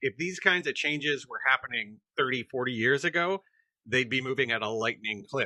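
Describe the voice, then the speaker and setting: A man's bright, sharp voice at medium pitch and moderate pace, with ordinary pitch variation and a dry, close sound with no echo. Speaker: podcast co-host. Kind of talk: podcast conversation.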